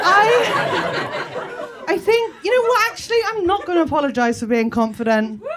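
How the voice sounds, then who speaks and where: Over noticeable background noise and audible room echo, a woman speaks at an extremely high pitch with very wide pitch swings, at a fairly slow pace with hardly any pauses. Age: 30s. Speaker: comedian. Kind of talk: stand-up. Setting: stage with audience. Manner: animated.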